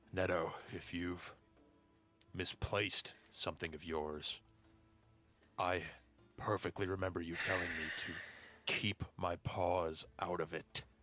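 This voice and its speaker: In a put-on character voice, the delivery is fairly slow and monotone, with flat intonation and long, frequent pauses. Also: man, very deep, low pitch for a man. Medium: actual play. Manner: polite, measured.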